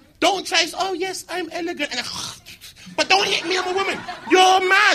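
The voice is raised and projected, with ordinary pitch variation at a moderate pace. Noticeable background noise sits behind it. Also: man. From Birmingham, England. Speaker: internet comedian. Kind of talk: live panel chat. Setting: stage with audience. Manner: animated.

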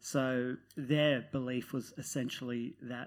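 Recorded very cleanly over a silent background, a man with an Australian accent speaks at a medium pitch with fairly even intonation. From Netherlands, then Newcastle, Australia. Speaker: novelist. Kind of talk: live panel discussion. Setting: stage with audience.

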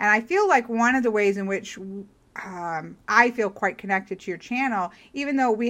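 With an unremarkable speaking voice, a woman talks at a moderate pace with lively intonation. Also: very clean recording, silent background. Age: 40s. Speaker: podcast host. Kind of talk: casual chat interview.

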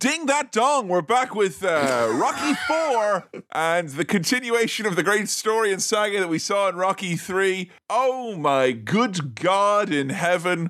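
A man's high-pitched voice at a fairly slow pace, with very wide pitch swings, very even loudness and hardly any pauses, over noticeable background noise. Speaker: podcast host. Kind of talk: casual comedic banter. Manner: animated, playful.

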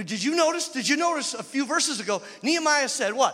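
A man's animated voice is raised and projected, reaching extremely high pitches. His pitch swings very widely. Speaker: guest preacher. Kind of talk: sermon to a live congregation. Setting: church with audience. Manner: animated, call-and-response, urgent; warm, humorous, exhorting.

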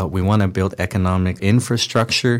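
Here is a man with a normal speaking voice at a fairly low pitch. His pace is moderate and his intonation fairly even. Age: 30s. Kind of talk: interview storytelling. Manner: casual with many fillers.

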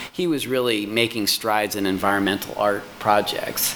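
Fairly quick speech from a man at medium pitch, fairly even in intonation, over noticeable background noise. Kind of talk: formal meeting discussion. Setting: video call meeting.

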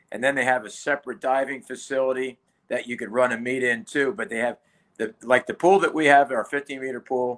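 Over a silent background on a very clean recording comes an unremarkable speaking voice with ordinary pitch variation, moving at a fairly quick pace. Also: man, medium pitch for a man. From Philadelphia, US Northeast. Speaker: retired college swim coach. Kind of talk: casual interview.

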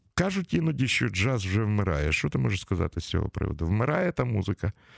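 A man speaks at a fairly quick pace in a very deep, low voice with vocal fry and very wide pitch swings, on a very clean recording with a silent background and a dry, close sound with no echo. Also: very even loudness. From Ukraine, Kyiv. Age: 60s. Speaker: radio host. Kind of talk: casual interview. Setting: studio.

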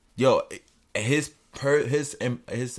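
A man's voice with vocal fry, in a very clean recording with a silent background. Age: 20s. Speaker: podcast co-host. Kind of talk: casual chat.

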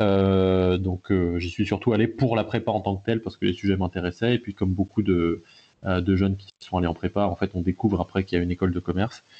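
Speaking at a fairly quick pace, a man with a very deep, low pitch keeps his intonation flat and monotone. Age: 20s. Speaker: blockchain consultancy founder. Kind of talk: interview.

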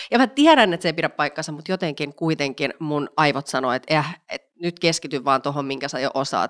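With a dry, close sound and no echo, a woman speaks at a fairly quick pace in a very deep, low pitch with ordinary pitch variation. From Finland, Vantaa (Helsinki area). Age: 30s. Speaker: entrepreneur and body positivity advocate. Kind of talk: casual interview chat.

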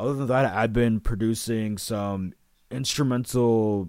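A man speaks in a plain, everyday voice at a fairly slow pace and fairly low pitch. His intonation is fairly even, on a very clean recording with a silent background. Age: 20s. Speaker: podcast host and audio producer. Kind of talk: casual interview.

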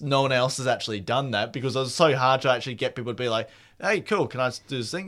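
An ordinary speaking voice at a fairly quick pace, in a very clean recording with a silent background. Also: man. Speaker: radio co-host. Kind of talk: casual banter with co-host, joking back-and-forth. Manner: laid-back, chatty, laughing.

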